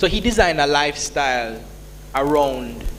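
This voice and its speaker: There is noticeable background noise and audible room echo as a man speaks with a Jamaican accent. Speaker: entrepreneur, business founder. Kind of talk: conference panel Q&A. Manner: casual, conversational.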